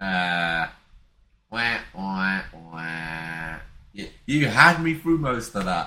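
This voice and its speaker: A man's very deep, low voice with a bright, sharp tone, very slow and broken by long, frequent pauses, with very wide pitch swings and big shifts in loudness. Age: 20s. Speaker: podcast co-host. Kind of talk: casual chat.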